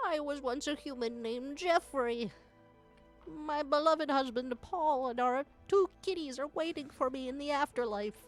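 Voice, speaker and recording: A woman puts on a character voice at high pitch, speaking at a moderate pace. Faint music plays in the background. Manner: mournful.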